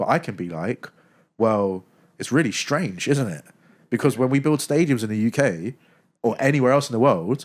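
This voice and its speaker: With a British accent, a man speaks at a medium pitch and a moderate pace, using lively intonation and long, frequent pauses, in a very clean recording with a silent background. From UK. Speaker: sports content creator. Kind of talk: podcast interview.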